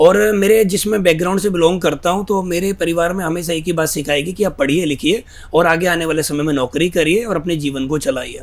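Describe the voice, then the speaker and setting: A man's high-pitched voice at a moderate pace, with ordinary pitch variation, hardly any pauses, and noticeable background noise. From northern India, Greater Noida. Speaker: network marketing leader. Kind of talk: interview.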